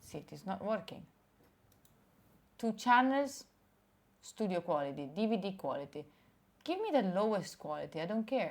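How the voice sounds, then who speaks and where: A woman speaks at a moderate pace in an animated tone, with long, frequent pauses. Her loudness swings widely and her pitch swings very wide. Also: medium pitch for a woman. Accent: Italian. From Italy. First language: Italian. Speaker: streamer. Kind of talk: casual chat. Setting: live stream.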